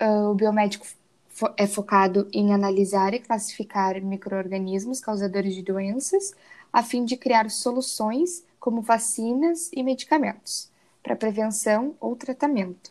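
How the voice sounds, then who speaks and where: A woman's unremarkable speaking voice, fairly high-pitched with ordinary pitch variation at a fairly slow pace, on a very clean recording with a silent background. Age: 20s. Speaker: biomedicine student. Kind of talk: student presentation, read script.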